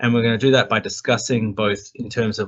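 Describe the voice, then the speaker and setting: A man is speaking. He has an Australian accent. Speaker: tech company executive. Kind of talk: webinar presentation. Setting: video call from hotel room.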